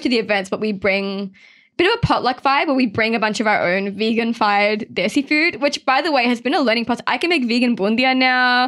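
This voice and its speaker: The voice carries an Australian accent. It moves at a fairly quick pace with ordinary pitch variation. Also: woman. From Sydney, Australia (Mount Druitt). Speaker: journalist. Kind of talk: casual chat.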